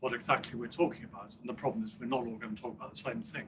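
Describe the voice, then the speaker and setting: A man's bright, sharp voice at medium pitch, with ordinary pitch variation and audible room echo. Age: 70s. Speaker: professor of rehabilitation. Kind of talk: Q&A discussion after a talk. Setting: conference session with audience.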